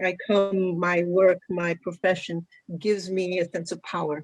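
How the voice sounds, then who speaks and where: This woman speaks at a medium pitch. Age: 60s. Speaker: physician. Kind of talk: panel discussion. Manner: halting.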